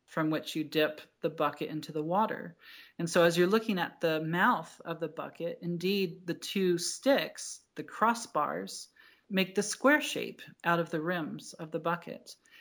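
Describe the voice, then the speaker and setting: A woman with an American accent and a normal speaking voice talks at a fairly slow pace, fairly low in pitch with ordinary pitch variation, on a very clean recording with a silent background. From New Jersey. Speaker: doctoral candidate in cultural astronomy. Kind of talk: interview with storytelling.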